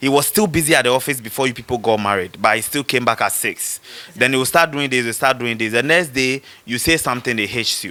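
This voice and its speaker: A man races along at a very fast pace while music plays in the background. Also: medium pitch for a man, ordinary pitch variation. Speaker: rapper. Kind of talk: casual debate. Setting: studio. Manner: loud; animated.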